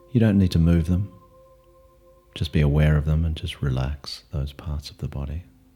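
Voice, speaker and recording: A man with a very deep, low pitch and a calm tone, with ordinary pitch variation, big swings in loudness, long, frequent pauses, and music in the background. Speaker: meditation teacher. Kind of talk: guided meditation. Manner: slow, calm, soft-spoken, with long pauses.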